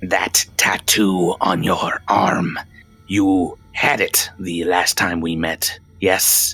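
Whispering in a put-on character voice, the speaker goes very slowly while faint music plays in the background. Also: man. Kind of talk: bureaucratic formality. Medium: actual play. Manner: formal, stiff, archaic phrasing.

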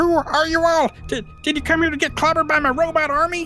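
A man's squeaky, put-on character voice at an extremely high pitch, fairly quick, with music in the background. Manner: threatening, playful.

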